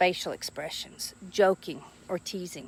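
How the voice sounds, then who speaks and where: A woman talks at a medium pitch with a Southern US accent and an animated tone. The sound is dry and close, with no echo. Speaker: social skills teacher. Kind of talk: educational talk to camera.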